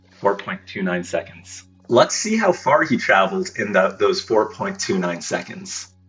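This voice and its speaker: With music in the background, a man speaks at a moderate pace, his pitch swinging very widely. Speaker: physics tutor. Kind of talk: physics lesson explanation.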